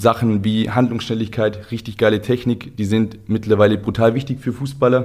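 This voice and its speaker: A man at medium pitch talks at a moderate pace with hardly any pauses. The recording is very clean, with a silent background. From southern Germany, Ulm. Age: 30s. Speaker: football coaching company co-founder. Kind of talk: casual chat. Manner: animated.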